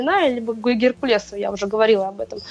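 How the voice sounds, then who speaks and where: Amid noticeable background noise, a woman talks at a fairly quick pace with a fairly high pitch and ordinary pitch variation. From Moscow, Russia. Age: 20s. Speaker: CrossFit athlete and coach. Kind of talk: casual interview.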